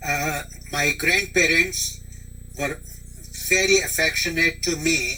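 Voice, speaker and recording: A man delivers his words at a very slow pace, with noticeable background noise behind him. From India. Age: 80s+. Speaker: grandfather interviewee. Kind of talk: oral history interview. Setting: teleconference.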